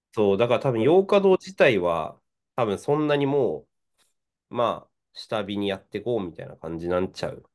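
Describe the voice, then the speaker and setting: A man speaks at a fairly quick pace and a medium pitch, with very wide pitch swings and big swings in loudness. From northern Japan (Tohoku), Hachinohe, Aomori. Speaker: podcast co-host. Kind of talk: casual chat. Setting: video call.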